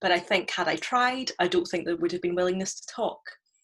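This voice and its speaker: The recording is very clean, with a silent background. A woman talks at a very fast pace. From UK. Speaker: musician. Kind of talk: panel discussion. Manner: halting.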